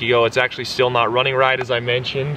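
A man's voice, dry and echo-free, with noticeable background noise. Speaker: car vlogger. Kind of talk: casual vlog chat. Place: street. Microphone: camera far.

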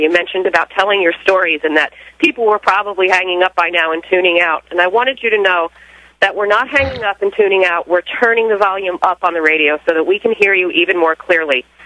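Someone with an American accent speaks at a very fast pace, with ordinary pitch variation. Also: woman, very even loudness. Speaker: caller. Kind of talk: personal testimony. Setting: phone call.

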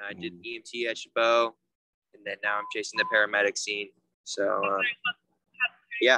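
A man speaks at a moderate pace with long, frequent pauses and big swings in loudness, in a dry sound with no echo. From US West Coast. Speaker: EMT and paramedic student; guest. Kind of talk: casual career talk on video call. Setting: video call. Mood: relaxed, friendly. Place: street. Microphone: video call.

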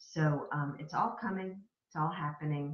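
A woman speaks in a calm, warm tone with a very deep, low pitch. Her delivery is somewhat breathy and fairly slow. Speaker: spiritual wellness vlogger. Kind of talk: weekly spiritual message monologue, card reading. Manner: calm, soft-spoken, warm, hesitant with fillers.

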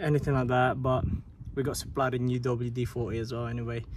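Noticeable background noise sits behind a man's voice, which has a dry sound with no echo. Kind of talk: casual vlog chat. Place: street. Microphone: phone near.

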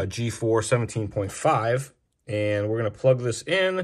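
The voice is somewhat breathy and moves at a very slow pace against a quiet background. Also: man. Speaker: RC hobby show host. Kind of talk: product demo tutorial. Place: workshop.

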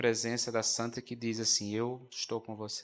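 A man is speaking. His pace is moderate. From Brazil, Rio Grande do Norte (Currais Novos). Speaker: Augustinian friar, religious TV presenter. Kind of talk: religious talk show discussion. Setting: studio. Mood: warm, devotional, reflective. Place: stage. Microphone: handheld.

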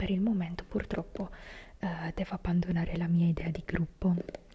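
The speaker is a soft-spoken woman. She talks in a whisper. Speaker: fitness content creator. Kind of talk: casual vlog chat. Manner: soft whisper close to the mic. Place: home room. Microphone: handheld.

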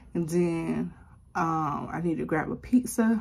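A somewhat breathy woman's voice, fairly low in pitch, with lively intonation. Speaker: vlogger mom. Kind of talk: casual vlog chat. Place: home room. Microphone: phone near.

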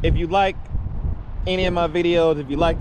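A dry, echo-free voice at a moderate pace over noticeable background noise. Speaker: motovlogger. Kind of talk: casual vlog chat. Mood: relaxed, upbeat. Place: waterside. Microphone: phone near.

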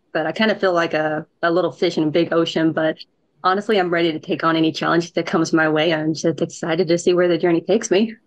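A woman with a fairly low voice speaks very fast, her intonation fairly even and her loudness very even. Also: quiet background. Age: 20s. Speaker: government intern. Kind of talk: webinar panel discussion. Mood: earnest, grateful. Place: home room. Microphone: video call.

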